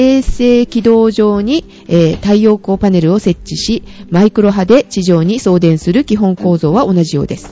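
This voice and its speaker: Noticeable noise is present in the background. Through it, a woman talks. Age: 30s. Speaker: podcast co-host. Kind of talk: casual chat.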